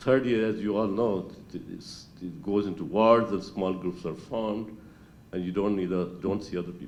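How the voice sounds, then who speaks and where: At a fairly quick pace, a man speaks in a fairly low voice with a dark, mellow tone. Audible room echo surrounds him. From Pakistan, Lahore. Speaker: retired doctor at class reunion. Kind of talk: reunion speech. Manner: halting.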